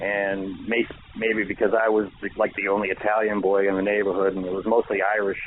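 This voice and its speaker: A man with a Boston accent talks fairly quickly in a fairly low pitch, his intonation monotone and flat. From Boston, Massachusetts (Dorchester). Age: 60s. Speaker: author. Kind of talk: radio interview. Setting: radio show.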